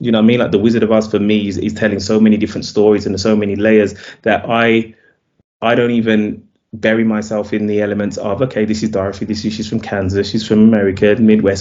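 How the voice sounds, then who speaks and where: A man's fairly low, monotone voice with flat intonation, a very fast pace and a British accent. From UK. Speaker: film director. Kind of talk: interview. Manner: halting, with fillers.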